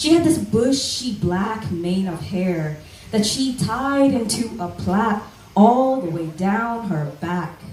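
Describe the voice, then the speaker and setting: A woman speaks at a medium pitch and a very slow pace, with very wide pitch swings. Noticeable background noise runs behind her. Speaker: spoken word poet. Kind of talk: spoken word storytelling performance.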